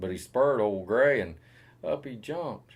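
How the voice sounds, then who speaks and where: Speaking at a moderate pace, this man has a Southern US accent. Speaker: cowboy poet. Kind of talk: poetry reading.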